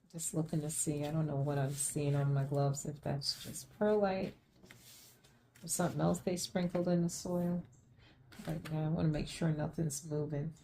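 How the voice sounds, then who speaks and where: A soft-spoken woman talks at a moderate pace in a very deep, low voice, somewhat breathy, with a dark, mellow tone and fairly even intonation. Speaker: plant care vlogger. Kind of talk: casual chat.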